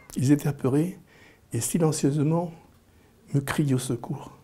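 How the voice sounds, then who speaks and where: The man's voice is fairly high. Its pitch shifts in an ordinary way. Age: 60s. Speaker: interviewee. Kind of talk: personal storytelling. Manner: halting, frequent repetitions.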